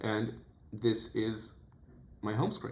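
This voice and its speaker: A man talks with a fairly low pitch and a somewhat breathy quality. Room echo is audible. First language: Portuguese. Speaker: self-improvement youtuber. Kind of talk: vlog monologue.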